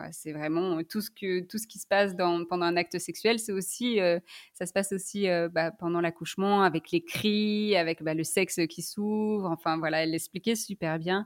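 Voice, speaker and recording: Delivered at a moderate pace with hardly any pauses and fairly even intonation, the speech has a dry, close sound with no echo on a very clean recording with a silent background. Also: woman, medium pitch for a woman. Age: 20s. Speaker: sex therapist. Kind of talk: testimony. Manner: halting, many fillers.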